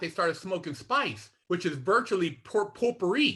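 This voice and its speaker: A man's high, raised and projected voice with an American accent, bright and sharp in tone, with lively intonation at a moderate pace. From Sacramento, Northern California. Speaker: former inmate, mentor. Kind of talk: interview. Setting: video call. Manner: blunt, straight-talking.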